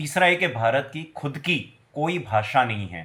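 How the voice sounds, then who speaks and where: In a Gujarati accent, the speaker uses ordinary pitch variation in a very clean recording with a silent background. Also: man. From Gujarat, India. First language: Gujarati (speaking Hindi). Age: 40s. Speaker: vlogger. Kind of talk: personal video commentary. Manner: agitated, ranting.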